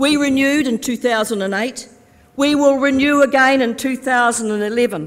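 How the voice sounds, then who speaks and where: Upbeat in tone, a woman talks at a moderate pace. Her pitch is high, with ordinary variation. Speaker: politician, Labour Party deputy leader. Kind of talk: political conference speech to delegates. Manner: upbeat, humorous, rousing.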